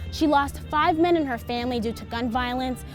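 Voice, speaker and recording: Music plays behind a woman with a high-pitched voice. Her pitch varies in an ordinary way. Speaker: TV news reporter. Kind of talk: TV news report.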